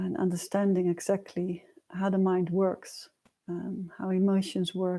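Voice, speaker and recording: Soft-spoken and flat, a woman speaks in a monotone at medium pitch with a dark, mellow tone. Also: fairly slow pace. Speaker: meditation and personal growth teacher. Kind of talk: livestream teaching talk. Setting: livestream. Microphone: quiet built-in mic, new mic not yet arrived.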